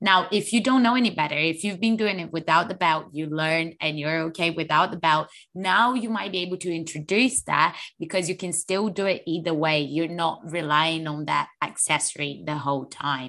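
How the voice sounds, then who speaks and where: With a bright, sharp tone, the voice shows ordinary pitch variation. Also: woman, fairly low pitch for a woman, moderate pace. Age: 20s. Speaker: fitness podcast host. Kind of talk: casual chat.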